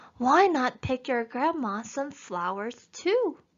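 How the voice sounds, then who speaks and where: A woman speaks in a put-on character voice, pitched high. Her pace is fairly slow. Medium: read story. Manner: growling, falsely gentle.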